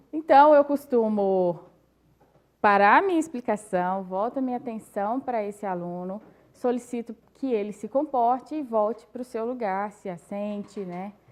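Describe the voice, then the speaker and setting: In a Minas Gerais accent, a woman with a fairly high voice speaks at a fairly slow pace, her loudness swinging widely while her pitch varies in an ordinary way. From Brazil, Minas Gerais (Caeté). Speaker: teacher. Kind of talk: panel discussion.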